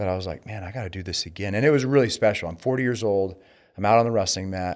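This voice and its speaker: Speaking at a very fast pace with an American accent, a man with a fairly low pitch shows ordinary pitch variation and big swings in loudness. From US. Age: 40s. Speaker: door-to-door sales executive. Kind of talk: casual chat.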